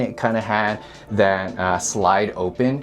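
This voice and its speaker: A man's voice with ordinary pitch variation over noticeable background noise. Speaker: real estate agent. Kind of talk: home tour walkthrough. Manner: loud; casual, conversational.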